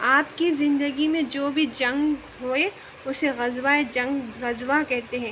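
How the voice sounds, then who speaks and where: There is noticeable background noise behind this woman. She speaks with a high pitch and fairly even intonation. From Hyderabad, India. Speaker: vlogger, mother. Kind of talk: religious talk to camera.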